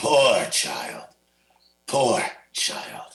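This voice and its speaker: A man puts on a raspy character voice at a fairly high pitch. Audible echo hangs around it. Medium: audio drama. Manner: repetitive, musing.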